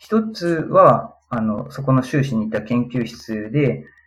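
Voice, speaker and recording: With music playing in the background, a man's medium-pitched voice carries lively intonation. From Japan, Aichi Prefecture. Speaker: physical therapist and researcher. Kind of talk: interview.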